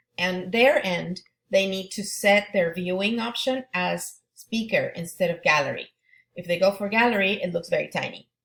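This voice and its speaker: A woman with a Spanish accent at medium pitch, moderate pace and ordinary pitch variation. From Argentina. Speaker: Spanish teacher. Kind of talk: back-to-school presentation to parents. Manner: halting.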